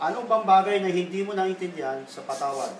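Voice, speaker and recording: Noticeable background noise and audible room echo around fairly quick talk, pitch varying in an ordinary way. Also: man. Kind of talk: confrontational interrogation. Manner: loud.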